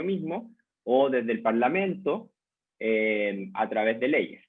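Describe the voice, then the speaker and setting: His intonation is lively throughout. This man speaks in a medium pitch. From Chile. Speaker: lecturer, journalist and communication researcher. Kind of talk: lecture. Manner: hesitant fillers (eh, em).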